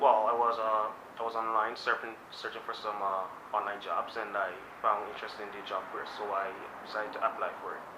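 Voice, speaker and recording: A man speaks with a fairly low pitch in a monotone, flat intonation. His fairly quick delivery carries audible room echo. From Guyana. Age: young, 19. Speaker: job applicant. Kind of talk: job interview. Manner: halting, many fillers.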